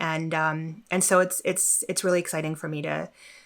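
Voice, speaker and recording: A woman's fairly low voice on a very clean recording against a silent background. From born in Mexico, moved around as a child. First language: Spanish. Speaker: corporate learning executive. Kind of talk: interview. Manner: frequent fillers, conversational.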